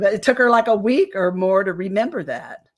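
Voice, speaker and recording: A woman with an American accent and a medium-pitched voice. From rural US (self-described hillbilly). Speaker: alien abduction experiencer. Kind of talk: interview. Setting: live stream.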